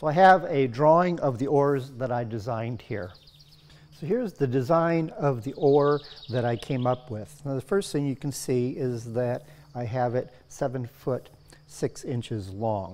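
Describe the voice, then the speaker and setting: A man's speech moves at a fairly slow pace, his pitch varying in an ordinary way. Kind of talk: tutorial. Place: workshop. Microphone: lapel.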